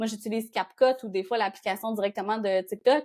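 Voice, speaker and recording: Speech at a fairly quick pace with ordinary pitch variation comes through on a very clean recording with a silent background. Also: woman. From Quebec, Gaspésie. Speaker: content creator, territorial marketing expert. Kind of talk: interview. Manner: fast; dynamic.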